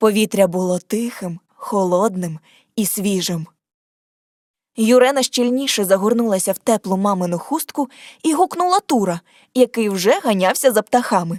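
The delivery moves at a moderate pace with lively intonation. Long pauses break it up often. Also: woman, medium pitch for a woman. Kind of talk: scripted audiobook narration of a fairy tale.

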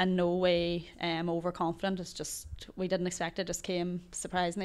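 A woman in an Ulster accent, talking at a fairly quick pace. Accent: Ulster Irish. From Ireland, Donegal. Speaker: Gaelic football player and teacher. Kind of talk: casual interview. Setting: hotel. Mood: reflective, slightly disappointed. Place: studio. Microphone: handheld.

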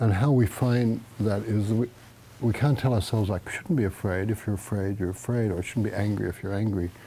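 Dark, mellow, somewhat breathy tone with an American accent, fairly quick pace and fairly even intonation over light background noise. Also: man, fairly low pitch for a man. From Australia. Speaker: Zen teacher. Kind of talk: dharma talk. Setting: meditation hall with audience. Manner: casual, halting with fillers. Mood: calm, reflective, warm. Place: home room. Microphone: lapel.

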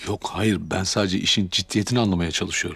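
A man's put-on character voice, low in pitch with vocal fry and a husky, rough edge, fairly bright in tone, fast-paced with fairly even intonation

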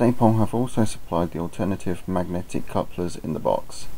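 A man mumbling at a fairly quick pace, with a very deep, low pitch. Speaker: model railway hobbyist. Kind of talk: hobby product review narration. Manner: mumbled, occasional stutter.

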